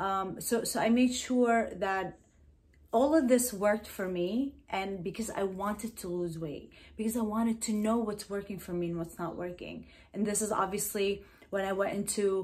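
Animated in tone, a woman speaks at a moderate pace in a somewhat breathy voice with ordinary pitch variation. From New Jersey, US (Middle Eastern heritage). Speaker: hypnotherapist and wellness YouTuber. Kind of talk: motivational vlog monologue. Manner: animated, repetitive with fillers. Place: home room.

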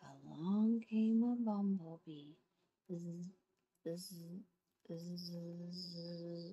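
A woman's somewhat breathy voice, gentle and warm in tone, dark and mellow, at a very slow pace. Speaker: grandmother reading picture books. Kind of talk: children's picture book read-aloud. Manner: gentle, warm. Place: home room. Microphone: phone near.

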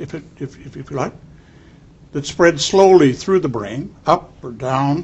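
A man speaks very slowly in a fairly high, somewhat breathy voice with ordinary pitch variation. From Canada, Toronto. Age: old. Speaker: neurologist; interviewee. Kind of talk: interview. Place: studio.

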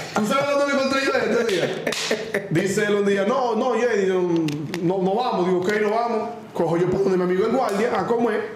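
A moderate pace, ordinary pitch variation and a Dominican accent, with audible room echo and noticeable background noise. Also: man, high pitch for a man. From Dominican Republic. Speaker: podcast host. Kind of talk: casual live show chat. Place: studio.

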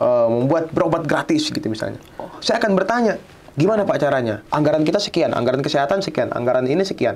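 Lively intonation marks this man's speech. He talks at a very fast pace. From Indonesia, West Kalimantan (Pontianak); West Kalimantan, Indonesia. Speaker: student union leader; guest. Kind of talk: podcast interview. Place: studio.

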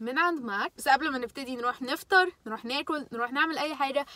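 A woman's raised, projected voice at a very fast pace, dry with no echo. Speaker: vlogger. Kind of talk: casual vlog chat.

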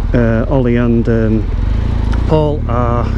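A man's voice comes through dry and echo-free despite loud background noise. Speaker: motorbike vlogger. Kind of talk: casual vlog chat. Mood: relaxed, looking forward. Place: motorbike. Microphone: helmet.

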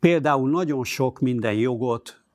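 A very slow male voice, dry with no echo, against a quiet background. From Hungary, Budapest; Hungary. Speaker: journalist and editor-in-chief; interviewee. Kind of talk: interview. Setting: studio. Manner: halting. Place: studio. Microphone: lapel.

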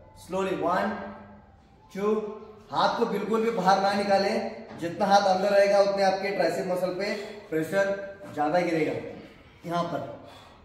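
A man at a high pitch, very slow pace, and strong room echo. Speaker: fitness trainer. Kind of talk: tutorial. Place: gym.

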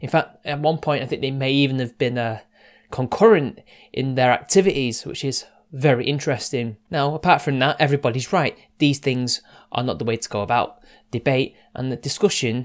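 A man speaks with ordinary pitch variation, the background quiet. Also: fairly quick pace. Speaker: online commentator. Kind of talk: casual commentary monologue. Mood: serious, measured. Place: home room.

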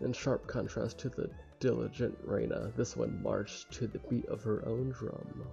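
Faint music plays in the background as a man speaks quietly at a moderate pace. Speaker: gamer streamer. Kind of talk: visual novel read-along let's play. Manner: casual. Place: home room.

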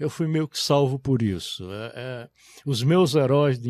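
Over a quiet background, a man speaks at a very slow pace with ordinary pitch variation, the sound dry with no echo. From Brazilian Northeast, Caraúbas, Rio Grande do Norte; Rio Grande do Norte, Brazil. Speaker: literature professor and author; literature professor. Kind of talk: interview talk about his books. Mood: reflective, moved. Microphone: studio mic.

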